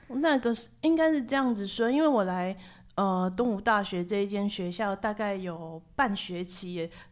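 A woman of medium pitch speaks in a Taiwanese accent with lively intonation at a moderate pace against a quiet background. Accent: Taiwanese Mandarin. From Taiwan, Tainan. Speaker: university sociology professor. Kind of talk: interview. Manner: animated.

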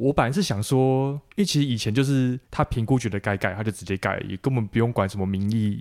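Hardly pausing at all, a man speaks at a very fast pace in a medium pitch with ordinary pitch variation, in a very clean recording with a silent background and a dry, close sound with no echo. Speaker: podcast host, civil engineer. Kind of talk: interview.

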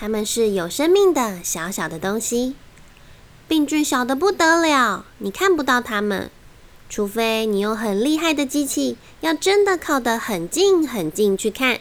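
A woman with a high, playful voice speaks at a fairly slow pace, her pitch swinging very widely. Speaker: children's picture book narrator. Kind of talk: reading aloud a children's story. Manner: lively, playful storytelling.

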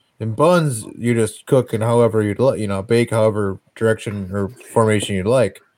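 A man with an American accent has an unremarkable speaking voice at a medium pitch and a moderate pace, in a very clean recording with a silent background. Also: ordinary pitch variation. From Wisconsin. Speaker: podcast host. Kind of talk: casual chat.

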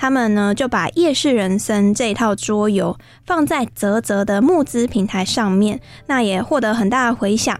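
A woman speaks at a moderate pace. Her fairly high pitch shows ordinary variation. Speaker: radio host. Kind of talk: radio interview. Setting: studio. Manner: animated.

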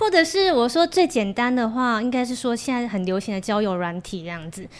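Fairly high-pitched woman at a fairly quick pace, with hardly any pauses. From Taiwan, Kaohsiung. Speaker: Korean language school owner and teacher. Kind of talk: casual chat.

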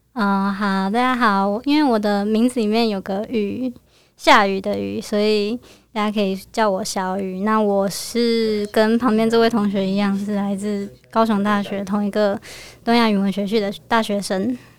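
On a very clean recording with a silent background, a woman of medium pitch speaks at a moderate pace in a monotone, flat intonation. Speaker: university student. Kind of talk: casual interview chat.

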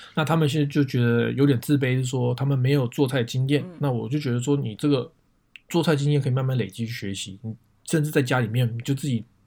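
A man talks at a very fast pace in a medium pitch, somewhat breathy, with fairly even intonation. The recording is very clean, the background silent. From Taiwan, Taipei. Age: 30s. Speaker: photographer. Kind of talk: casual chat.

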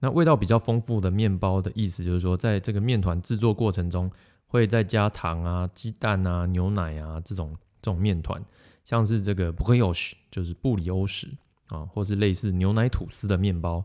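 Very deep and low, a man's voice carries a dark, mellow tone and a Taiwanese accent, with ordinary pitch variation at a moderate pace. The recording is very clean, with a silent background. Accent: Taiwanese Mandarin. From Taiwan, Yunlin. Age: 30s. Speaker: podcast host. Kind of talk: casual monologue about food and stories.

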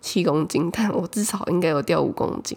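With a Taiwanese accent, a woman talks at a moderate pace. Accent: Taiwanese Mandarin. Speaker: podcast host. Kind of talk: casual solo chat.

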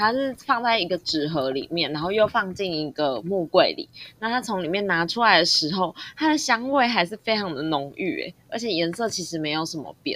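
Hardly pausing, a woman with a medium-pitched voice talks at a moderate pace through very wide pitch swings. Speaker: podcast co-host. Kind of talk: casual chat.

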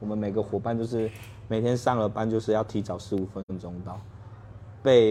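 A man talks at a moderate pace in a fairly low pitch with a dark, mellow tone. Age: 30s. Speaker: bar owner. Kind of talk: interview.

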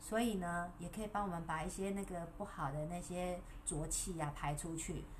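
With a Taiwanese accent, the speaker talks at a moderate pace with fairly even intonation over noticeable background noise. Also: woman, fairly low pitch for a woman. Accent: Taiwanese Mandarin. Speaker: wellness livestreamer. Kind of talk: casual livestream talk. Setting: livestream. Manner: soothing, sleep-inducing.

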